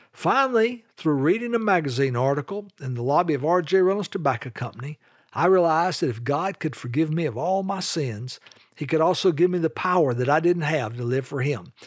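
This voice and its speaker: On a very clean recording with a silent background, a man with a Southern US accent talks at a fairly quick pace, his fairly high pitch marked by lively intonation. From US South, North Carolina (Charlotte). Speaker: evangelism ministry leader. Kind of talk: religious teaching podcast.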